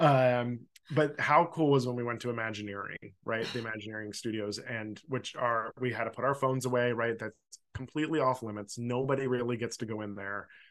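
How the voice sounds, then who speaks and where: The speaker has an American accent, fairly even intonation and a fairly quick pace. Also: man, medium pitch for a man. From Philadelphia suburbs, US. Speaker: podcast host. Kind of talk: casual chat.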